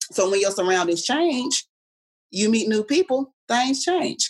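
Speaking at a fairly slow pace, a woman uses an animated tone and very wide pitch swings in a dry, close sound with no echo. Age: 30s. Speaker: podcast guest. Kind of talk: casual chat.

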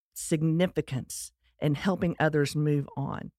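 A woman speaks with a Texas accent at a very deep, low pitch. The recording is very clean with a silent background and a dry, close sound with no echo. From US Texas. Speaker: podcast host. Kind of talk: scripted-style monologue, personal story.

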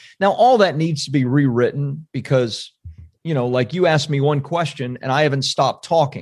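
A plain, everyday voice with an American accent, at a moderate pace and with ordinary pitch variation. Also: man. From Central Florida. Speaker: book publishing entrepreneur. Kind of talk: casual interview chat.

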